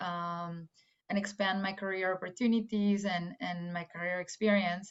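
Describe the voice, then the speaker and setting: A woman with a Spanish accent at medium pitch and moderate pace, her intonation fairly even. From Mexico, Guadalajara. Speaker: AI engineer. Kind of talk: career talk to students. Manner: hesitant, many fillers.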